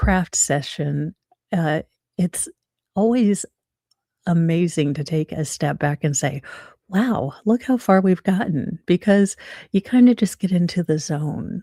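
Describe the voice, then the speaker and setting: In a very clean recording with a silent background and a dry, close sound with no echo, a woman speaks fairly slowly at a fairly low pitch, her dark, mellow tone somewhat breathy and her intonation lively. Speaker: crafting video creator. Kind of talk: casual craft tutorial chat. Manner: chatty, many fillers.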